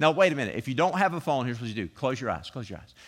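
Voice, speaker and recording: A man talks in a playful, animated tone. His intonation is lively. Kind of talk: sermon with a pep-talk push. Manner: animated, coaxing, repeating commands to get the congregation moving; casual and conversational, playful.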